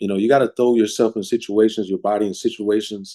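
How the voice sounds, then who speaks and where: Talking at a very fast pace, a man uses a fairly low pitch and a dark, mellow tone. His intonation is fairly even. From Cleveland, Ohio, US. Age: 40s. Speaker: podcast guest, real estate professional. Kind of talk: casual interview chat.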